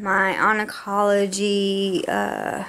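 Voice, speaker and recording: A woman speaks with audible room echo. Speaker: vlogger with chronic illness. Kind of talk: casual vlog rant. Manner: slurred words.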